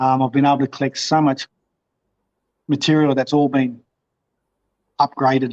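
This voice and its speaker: A fairly high-pitched man with an Australian accent, monotone and flat, at a moderate pace, with very even loudness and long, frequent pauses. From Victoria, Australia. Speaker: motorcycle vlogger. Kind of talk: interview. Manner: halting.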